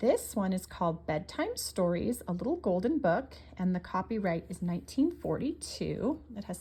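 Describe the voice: The text is simply read aloud in a plain manner.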